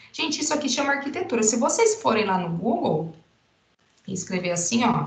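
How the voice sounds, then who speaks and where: Very wide pitch swings against audible room echo. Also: woman. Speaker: university teacher. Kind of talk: lecture. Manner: animated.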